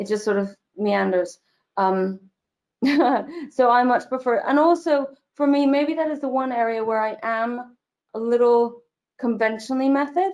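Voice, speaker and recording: Long, frequent pauses in an American accent, with ordinary pitch variation over a very clean recording and a silent background. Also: woman, high pitch for a woman, moderate pace. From mixed: UK, US, Germany, Ireland. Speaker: actress. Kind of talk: interview conversation.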